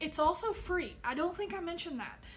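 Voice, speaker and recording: A woman with a Southern accent and audible room echo. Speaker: crafting video creator. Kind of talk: casual vlog chat. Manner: frequent fillers (um, uh).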